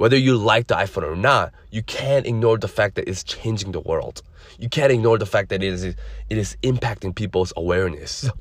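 A man with a fairly low pitch and a somewhat breathy voice speaks at a fairly quick pace with ordinary pitch variation. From immigrant, grew up in the US. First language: non-English (immigrant). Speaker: podcast host, credit services entrepreneur. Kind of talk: solo podcast monologue.

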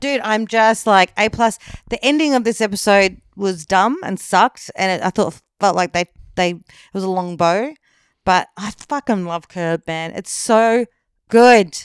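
A woman speaks with ordinary pitch variation. The recording is very clean and silent behind her, with a dry, close sound and no echo. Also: medium pitch for a woman, fairly slow pace. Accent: Australian. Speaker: podcast co-host. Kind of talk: casual chat.

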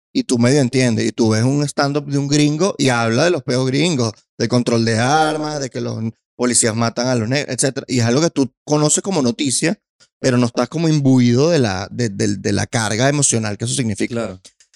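A man with a Venezuelan accent, medium pitch, ordinary pitch variation and a fairly quick pace, in a dry, close sound with no echo. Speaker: stand-up comedian. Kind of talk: casual chat. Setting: studio.

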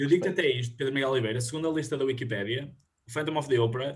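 Pitch variation here is ordinary. There is a somewhat breathy quality to the voice. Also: man. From northern Portugal, Viana do Castelo. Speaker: podcast host, university student. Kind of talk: quiz hosting. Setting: video call.

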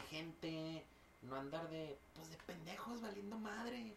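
Very wide pitch swings in a Mexican accent at a fairly slow pace. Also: man. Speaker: podcast host and teacher. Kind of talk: casual chat.

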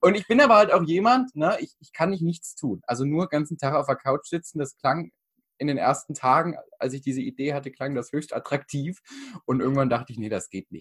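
With a dry, close sound and no echo, a man speaks at a fairly quick pace and fairly high pitch, somewhat breathy, with lively intonation and big swings in loudness. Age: 20s. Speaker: mental coach and speaker. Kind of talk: interview conversation. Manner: halting, many fillers.

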